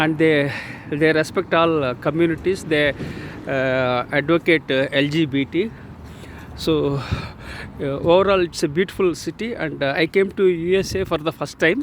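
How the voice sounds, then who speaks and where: Over noticeable background noise, a man with an Indian accent talks at a moderate pace, his fairly high pitch varying in an ordinary way. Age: 60s. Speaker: author and leadership speaker. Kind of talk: casual talk to camera while walking. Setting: outdoors. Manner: hesitant, many fillers.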